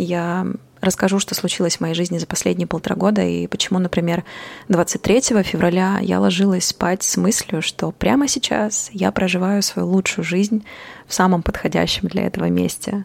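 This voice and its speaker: With an unremarkable speaking voice, a woman talks at a moderate pace in a medium pitch and fairly even intonation, the sound dry and close with no echo. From Kazakhstan (Almaty). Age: 30s. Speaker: poet and podcast host. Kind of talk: personal monologue podcast. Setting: on the move around the city, home at start.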